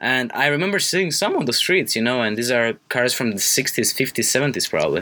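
Noticeable background noise sits behind a man speaking at a moderate pace and medium pitch. His intonation is lively while his loudness stays very even. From Romania. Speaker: college radio co-host. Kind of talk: casual chat. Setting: studio.

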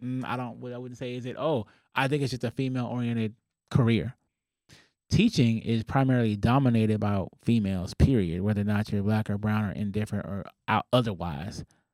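With an American accent, a man in a plain, everyday voice talks at a fairly quick pace with ordinary pitch variation and big swings in loudness, recorded very cleanly against a silent background with a dry, close sound and no echo. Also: medium pitch for a man. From Southern California. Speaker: founder and CEO of a tutoring company. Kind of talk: casual interview.

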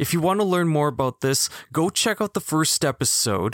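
Someone with a Manitoban accent speaks at a fairly quick pace with very wide pitch swings, in a very clean recording with a silent background. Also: man. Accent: Canadian (Manitoba). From Canada, Winnipeg. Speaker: podcast host. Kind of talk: personal testimony monologue.

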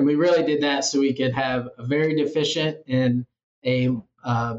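Monotone, flat intonation marks this man's speech at a moderate pace. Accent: Midwestern American. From Iowa, US Midwest. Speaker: PhD student researcher. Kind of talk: interview.

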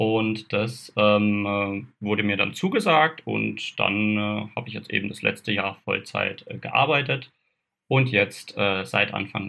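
Very slowly, a man talks at a fairly low pitch with ordinary pitch variation. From southern Baden, Kaiserstuhl near Freiburg. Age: 20s. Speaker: photographer and camera shop adviser. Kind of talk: casual interview.

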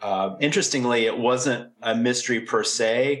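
Here is a man with an ordinary speaking voice at a medium pitch. He goes at a fairly slow pace. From southwestern Virginia, US. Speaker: crime novelist and writing professor. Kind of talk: interview conversation.

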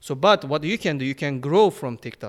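A man with a Turkish accent and a fairly high pitch talks fairly quickly on a very clean recording with a silent background. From Turkey. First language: Turkish or Kurdish. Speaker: phone repair shop owner and content creator. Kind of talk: casual chat.

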